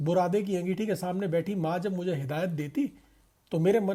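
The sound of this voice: Someone reads in an unforced reading voice.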